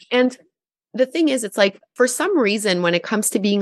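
Over a quiet background, a woman with a plain, everyday voice talks at a fairly quick pace with lively intonation in a dry, close sound with no echo. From Gatineau, Quebec, Canada. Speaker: yoga teacher and YouTuber. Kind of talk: interview.

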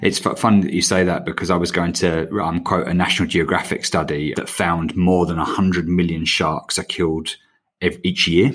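A man speaks with an English accent. His very deep, low voice keeps a fairly even intonation. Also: moderate pace. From England. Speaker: podcast host. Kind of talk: casual interview.

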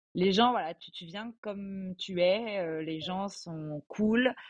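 A woman at a medium pitch speaks with fairly even intonation, her sound dry and close with no echo over a quiet background. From Alsace, France. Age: 20s. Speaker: podcast guest, bilingual French-German. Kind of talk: casual interview.

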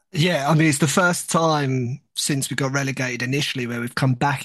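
A man with an English accent talks at a fairly quick pace, his medium pitch held in fairly even intonation. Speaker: football podcast co-host. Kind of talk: casual chat.

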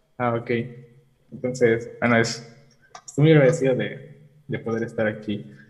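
With audible room echo, a man talks at a moderate pace in fairly even intonation, broken by long, frequent pauses. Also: medium pitch for a man. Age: 20s. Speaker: engineering student calling in for advice. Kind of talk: personal confession seeking advice. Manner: halting.

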